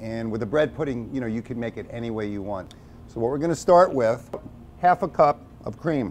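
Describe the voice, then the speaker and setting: An unremarkable speaking voice comes from a man with an American accent, medium in pitch and fairly quick in pace. His intonation is lively, his loudness swings widely, and light background noise is present. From New York City (Brooklyn); New York City. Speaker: chef. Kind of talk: tutorial. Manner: casual. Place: kitchen. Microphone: lapel.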